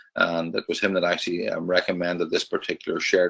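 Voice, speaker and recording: This is a man's voice. He speaks with a Northern Irish accent. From Northern Ireland. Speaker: trading educator. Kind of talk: webinar presentation. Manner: hesitant, many fillers.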